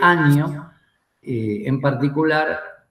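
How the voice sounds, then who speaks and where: A man's fairly high, somewhat breathy voice with lively intonation, heard with audible room echo. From Argentina. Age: 60s. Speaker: war veteran. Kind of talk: interview. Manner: hesitant, many fillers.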